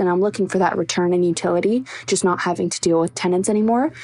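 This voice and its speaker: Noticeable background noise sits behind a woman at medium pitch. She talks at a very fast pace with ordinary pitch variation. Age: 20s. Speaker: university student. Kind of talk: recorded voice question.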